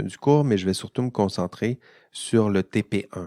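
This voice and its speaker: A man's fairly low voice with a Quebec accent, dry and close with no echo, on a very clean recording with a silent background. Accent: Québécois. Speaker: university professor. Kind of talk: educational podcast monologue. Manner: casual with many hesitations.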